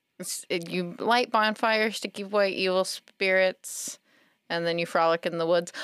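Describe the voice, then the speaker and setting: A woman with an American accent talks at a moderate pace in a plain, everyday voice, medium in pitch with ordinary variation. The recording is very clean with a silent background. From South Carolina. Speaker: library staff member. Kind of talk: casual chat.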